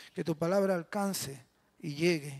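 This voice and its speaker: A man talks at a moderate pace. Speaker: pastor. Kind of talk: prayer before sermon. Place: church. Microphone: handheld.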